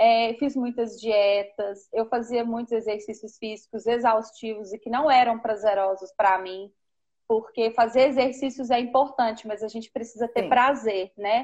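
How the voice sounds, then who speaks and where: A woman speaks with a normal speaking voice at a moderate pace. Her pitch is fairly high and her intonation fairly even. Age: 30s. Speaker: preschool teacher. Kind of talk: live-stream conversation. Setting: Instagram live video call.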